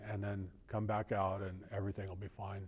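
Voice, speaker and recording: A man speaks at a moderate pace. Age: 60s. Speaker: interviewee sharing personal loss. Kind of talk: personal testimony.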